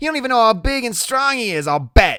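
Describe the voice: A man puts on a character voice at an extremely high pitch, with big pitch swings and a tone that is clear, smooth, bright and sharp. The recording is very clean, with a silent background. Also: fairly quick pace.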